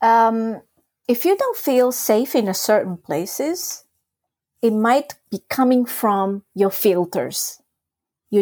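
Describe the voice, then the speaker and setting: A woman with a Japanese accent and a dark, mellow tone, lively intonation, a very slow pace, long, frequent pauses, and a dry, close sound with no echo. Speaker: trauma release exercise teacher. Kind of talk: casual interview explanation.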